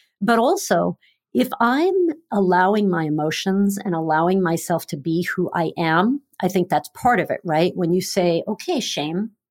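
A woman talks at a moderate pace with ordinary pitch variation, in a normal speaking voice. The recording is very clean, with a silent background. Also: medium pitch for a woman. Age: 50s. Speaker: wellness and weight loss coach. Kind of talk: casual chat.

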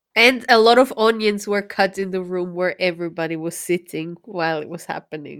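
A woman with an ordinary speaking voice, medium pitch and ordinary pitch variation, at a fairly quick pace with hardly any pauses and big swings in loudness. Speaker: podcast host. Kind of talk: casual chat. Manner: laughs often.

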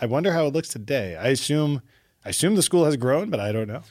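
A man with an American accent speaks at a fairly high pitch with lively intonation. The recording is very clean, with a silent background. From New York City (Brooklyn). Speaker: physician. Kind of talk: casual interview chat. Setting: studio. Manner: loud.

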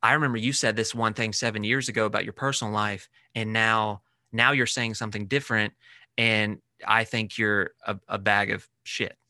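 A man with an American accent speaks at a moderate pace and a medium pitch, with a bright, sharp tone and monotone, flat intonation. The sound is dry and close with no echo, over a quiet background. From US South. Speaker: social media personality. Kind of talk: casual chat.

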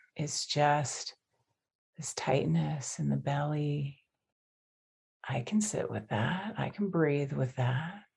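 A woman's very deep, low voice with vocal fry and an American accent, lively in intonation, at a very slow pace with long, frequent pauses. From US suburbs. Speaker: meditation teacher. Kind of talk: interview.

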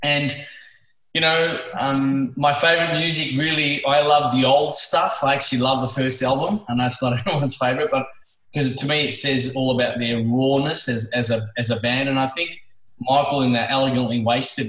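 A man speaks with an Australian accent at a medium pitch and a moderate pace. His intonation stays fairly even, and the room echo is audible. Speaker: music fan. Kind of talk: casual chat. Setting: video call.

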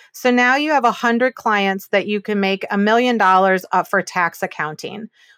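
With a medium pitch and lively intonation, a woman talks in a normal speaking voice, the sound dry and close with no echo on a very clean recording with a silent background. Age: 40s. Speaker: business valuation expert and mediator. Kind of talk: interview conversation.

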